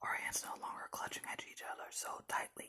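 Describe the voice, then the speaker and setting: Someone whispers at a fairly quick pace. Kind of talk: ASMR horror story narration; first-person story reading.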